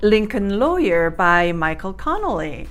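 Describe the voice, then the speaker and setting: A woman with a non-native accent talks at a fairly slow pace and medium pitch. Her intonation is lively, and there is audible room echo. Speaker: YouTuber. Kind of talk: casual vlog talk. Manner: hesitant, with fillers.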